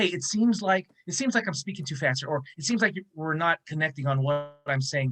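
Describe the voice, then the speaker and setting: A man at a fairly quick pace with lively intonation, in a dry, close sound with no echo. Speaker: negotiation trainee. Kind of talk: group discussion. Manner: fast.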